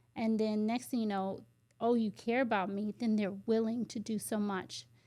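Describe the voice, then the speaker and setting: A soft-spoken woman with an American accent, fairly high pitch, a dark, mellow tone, fairly even intonation and a moderate pace. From US, Washington DC / Maryland area. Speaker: educator and children's ministry leader. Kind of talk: casual chat. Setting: studio.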